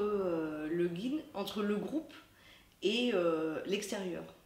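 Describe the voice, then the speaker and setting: Very slowly and with lively intonation, a woman speaks amid noticeable background noise and audible room echo. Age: 40s. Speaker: festival volunteer guide. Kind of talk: interview. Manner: hesitant, many fillers.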